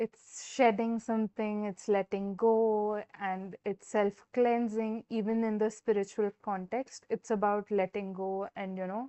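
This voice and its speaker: At a fairly slow pace, a woman speaks with an Indian accent. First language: Hindi. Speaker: tarot reader. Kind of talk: live stream tarot reading. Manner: hesitant, many fillers.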